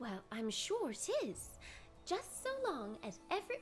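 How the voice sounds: Someone talks in a put-on character voice at a fairly slow pace. Music plays clearly in the background. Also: female-sounding voice.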